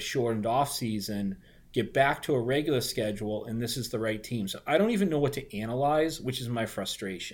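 Someone speaks with a strong Boston accent at a fairly quick pace and ordinary pitch variation. The recording is very clean with a silent background. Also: man. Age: 40s. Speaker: recurring podcast guest and basketball card collector. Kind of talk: casual chat.

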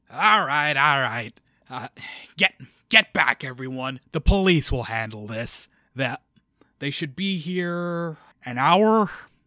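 Using a put-on character voice, a man projects loudly in a fairly high pitch with lively intonation and big swings in loudness. He goes at a fairly slow pace with long, frequent pauses. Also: dry, close sound with no echo. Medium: actual play. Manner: gruff, impatient.

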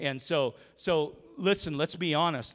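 A man is talking here. The rise and fall of his pitch is ordinary. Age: 40s. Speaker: pastor. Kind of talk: sermon. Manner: animated.

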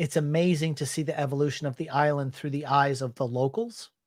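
A man talks in an ordinary speaking voice at a fairly quick pace, pitched fairly high with ordinary pitch variation. The recording is very clean, with a silent background. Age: 40s. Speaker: YouTube talk show host. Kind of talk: live-stream interview. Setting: live video stream.

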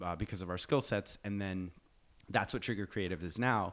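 In a very clean recording with a silent background, a man with a normal speaking voice talks at a fairly low pitch with fairly even intonation. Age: 40s. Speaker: filmmaker and actor. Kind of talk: casual chat. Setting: studio.

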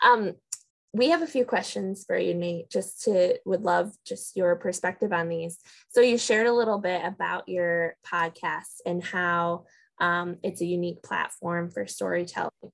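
The recording is very clean, its background silent. A normal speaking voice goes at a moderate pace, its pitch varying in an ordinary way. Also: woman, fairly low pitch for a woman. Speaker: podcast co-host. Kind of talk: casual conversational interview.

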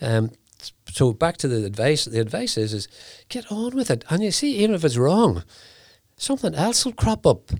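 Over a very clean recording with a silent background, a man with a Northern Irish accent speaks at a moderate pace and fairly high pitch, using very wide pitch swings and long, frequent pauses. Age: 70s. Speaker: whiskey company founder. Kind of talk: interview. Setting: studio.

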